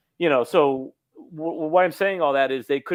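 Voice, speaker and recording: A man delivers his words fairly quickly in an ordinary speaking voice, with ordinary pitch variation. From Los Angeles, US. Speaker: comic book writer. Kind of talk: interview.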